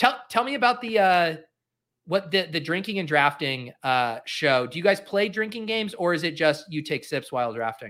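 In a General American accent, a man speaks at a moderate pace with a high pitch, a bright, sharp tone, and very wide pitch swings. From US West, Colorado. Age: 30s. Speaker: fantasy football show host. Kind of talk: casual chat. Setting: video call.

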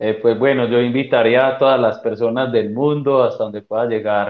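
A man with fairly even intonation. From Colombia, Chocó. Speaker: teqball player and coach. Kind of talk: casual interview.

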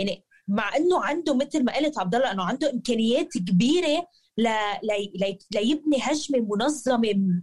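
A woman's high-pitched voice with lively intonation, very even loudness and a moderate pace. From Lebanon. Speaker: football fan pundit. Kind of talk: casual chat.

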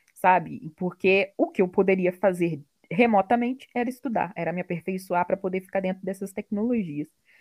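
Her normal speaking voice moves at a moderate pace with lively intonation, and it is a woman's voice: a normal speaking voice. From Brazil, interior of Rio de Janeiro state. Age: 30s. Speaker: product owner, tech worker. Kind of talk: interview.

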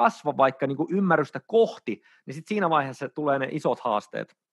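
Over a quiet background, a man with an ordinary speaking voice and ordinary pitch variation is heard in a dry, close sound with no echo. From Finland, Oulu. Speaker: dating coach and dance teacher. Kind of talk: casual interview.

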